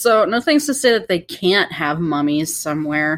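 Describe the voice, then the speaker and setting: In a very clean recording with a silent background, a woman with a normal speaking voice talks at a fairly low pitch with lively intonation. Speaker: podcast co-host. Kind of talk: casual chat.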